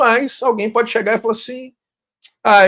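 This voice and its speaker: He speaks fairly quickly. The voice is a man's. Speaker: podcast host. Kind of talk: interview. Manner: loud.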